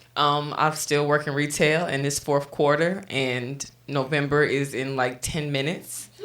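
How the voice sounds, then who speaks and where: A woman's very deep, low pitch in a monotone, flat delivery, fairly slow pace, and noticeable background noise. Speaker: podcast co-host. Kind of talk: casual chat.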